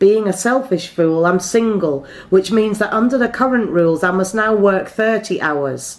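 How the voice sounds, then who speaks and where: The speaker has a plain, everyday voice, keeping a moderate pace with ordinary pitch variation. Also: woman. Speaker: poet. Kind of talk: slam poetry performance.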